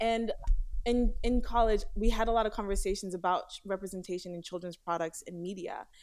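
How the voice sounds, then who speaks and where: In a very clean recording with a silent background, a woman with an American accent and an ordinary speaking voice talks at a fairly quick pace in a medium pitch, her intonation fairly even but her loudness swinging widely. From US, Haitian American family. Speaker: doll company founder. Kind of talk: interview.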